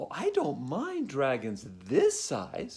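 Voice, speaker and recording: A man performs a put-on character voice. He delivers it at a very slow pace. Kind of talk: picture-book read-aloud. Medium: read story. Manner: firm, matter-of-fact.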